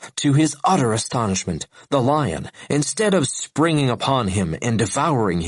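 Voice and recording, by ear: Someone reads aloud in a natural voice. The intonation rises and falls in a lively way.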